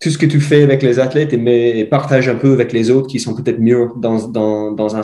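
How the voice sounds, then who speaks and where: A man's medium-pitched voice with an Irish accent, dark and mellow in tone, at a fairly quick pace with fairly even intonation. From Ireland. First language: English (speaking French). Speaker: mountain bike coach. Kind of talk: podcast interview. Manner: halting, searching for words.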